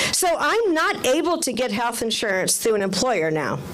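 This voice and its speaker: A woman talks at a moderate pace with lively intonation, with audible room echo and noticeable background noise. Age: 60s. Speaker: community member testifying at rally. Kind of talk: testimony.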